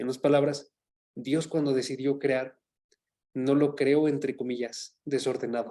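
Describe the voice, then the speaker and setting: A man with a dark, mellow tone speaks at a fairly slow pace in a monotone, flat intonation. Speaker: Bible teacher. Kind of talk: Bible study lecture.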